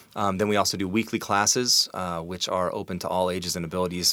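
Heard on a very clean recording with a silent background, a man with an American accent speaks in a very deep, low pitch with fairly even intonation. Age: 40s. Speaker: musician and music teacher. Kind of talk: interview. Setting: studio. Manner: fast.

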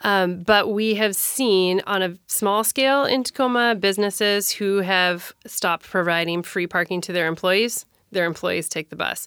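A woman's medium-pitched, a plain, everyday voice, with ordinary pitch variation and a moderate pace. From Minnesota. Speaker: city council candidate and transit advocate. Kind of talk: interview.

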